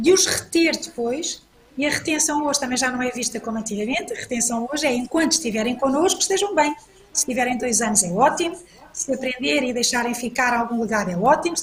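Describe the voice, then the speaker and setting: Against noticeable background noise, a woman with a high voice speaks at a fairly quick pace with lively intonation. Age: 60s. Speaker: panel speaker, business executive. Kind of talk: panel talk. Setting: online event. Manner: hesitant, repeats words.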